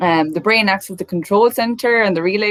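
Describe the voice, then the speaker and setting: With an Irish accent, the voice moves through ordinary pitch variation. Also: woman. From Ireland, midlands. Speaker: neuroscientist. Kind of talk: talk to an online audience. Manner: many fillers (um).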